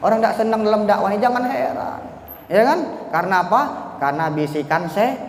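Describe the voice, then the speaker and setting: A man with a Bangka accent, high-pitched, very fast, with very wide pitch swings, noticeable background noise and audible room echo. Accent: Bangka accent, described as coarse. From Bangka Belitung, Indonesia. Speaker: Islamic preacher. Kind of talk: sermon. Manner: animated.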